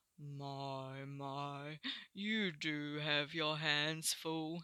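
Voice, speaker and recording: A put-on character voice with a low-to-middle pitch creeps along at a very slow pace on a very clean recording with a silent background. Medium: read story.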